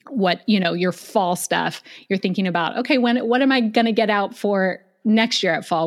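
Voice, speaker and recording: Recorded very cleanly against a silent background, a woman speaks at a fairly quick pace. She has an unremarkable speaking voice with ordinary pitch variation. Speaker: professional organizer and podcaster. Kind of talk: casual interview chat.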